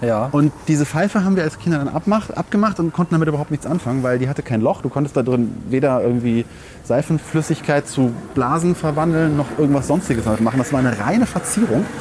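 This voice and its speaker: Talking at a very fast pace with lively intonation, a man with a fairly high pitch keeps a very even loudness over noticeable background noise. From Rhineland, Germany (Langenfeld). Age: 30s. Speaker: podcast host. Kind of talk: casual chat.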